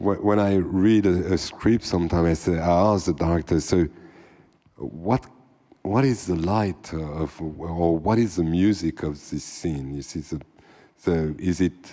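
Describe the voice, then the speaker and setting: In a French accent, a man with a very deep, low, dark and mellow voice speaks at a fairly slow pace with ordinary pitch variation. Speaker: cinematographer. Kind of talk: panel discussion. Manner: halting.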